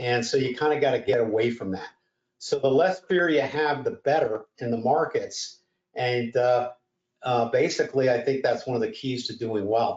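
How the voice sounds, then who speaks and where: An unremarkable speaking voice from a man at medium pitch, with lively intonation and a moderate pace. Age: 60s. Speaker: trading educator. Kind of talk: webinar workshop. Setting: live webinar.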